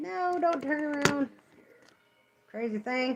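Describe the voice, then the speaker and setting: Over noticeable background noise, a woman speaks in a high pitch with lively intonation and a slight West Virginia accent. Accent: slight West Virginia country. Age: 40s. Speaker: nail artist livestreamer. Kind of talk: casual chat. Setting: livestream.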